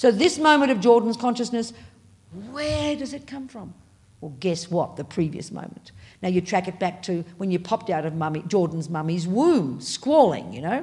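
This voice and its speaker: With an Australian accent, a woman at a medium pitch speaks at a moderate pace, somewhat breathy, with very wide pitch swings and big swings in loudness. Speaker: Buddhist nun and teacher. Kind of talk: dharma talk. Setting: meditation hall with audience. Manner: animated.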